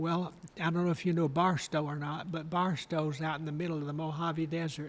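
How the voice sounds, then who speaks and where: A man with an American accent, fairly high-pitched and in a flat monotone. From Alabama, Guntersville. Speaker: retired costume designer and professor. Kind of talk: interview, personal reminiscence.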